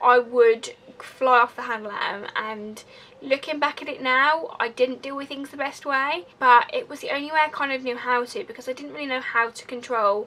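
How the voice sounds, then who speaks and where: In a high, raised and projected voice, a woman talks at a moderate pace with ordinary pitch variation. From Essex, England, moved elsewhere at nine. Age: 20s. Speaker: vlogger. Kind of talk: personal confessional vlog. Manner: casual, rambling.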